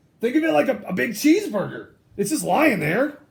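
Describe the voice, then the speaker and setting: Fairly quick, high-pitched put-on character voice from a man. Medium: read story. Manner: casual, stammering, self-justifying.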